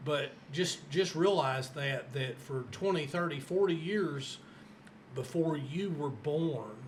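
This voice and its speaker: Amid audible room echo and noticeable background noise, a man speaks very slowly at a fairly high pitch with ordinary pitch variation. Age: 60s. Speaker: podcast host. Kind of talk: interview.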